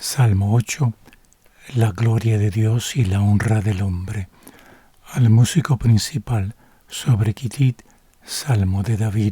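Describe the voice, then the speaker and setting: A man's fairly low voice, fairly slow and calm, with fairly even intonation, long frequent pauses, and a dry, close sound free of echo. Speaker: Bible reader / ASMR narrator. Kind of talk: sleep-aid Bible reading, bilingual English and Spanish. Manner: soft, calm, slow.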